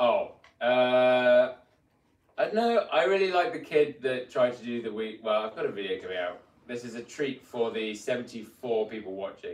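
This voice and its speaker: Speaking with a British accent at a moderate pace, a man in a medium pitch shows big swings in loudness. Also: ordinary pitch variation. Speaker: mountain bike video creator. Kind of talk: casual live stream chat. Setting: motel room live stream.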